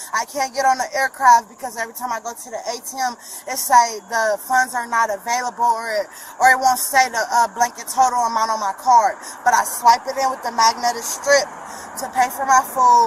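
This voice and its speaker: A woman speaks at a fairly quick pace in a high, flat monotone. Her loudness swings widely, and there is noticeable background noise. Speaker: detained shoplifting suspect. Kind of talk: confrontation with police. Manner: rapid and agitated.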